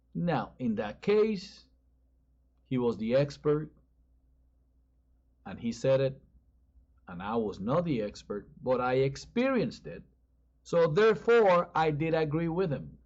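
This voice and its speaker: Speaking at a fairly slow pace with long, frequent pauses, a man with a strong Spanish accent and fairly high pitch makes very wide pitch swings. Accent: Spanish accent, increasingly strong. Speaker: pastor. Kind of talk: sermon.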